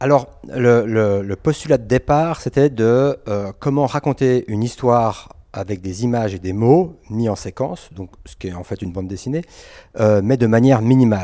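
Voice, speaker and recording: Dark, mellow tone from a man, with ordinary pitch variation. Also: very clean recording, silent background. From Switzerland, Geneva. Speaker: comic book author. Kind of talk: interview. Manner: halting.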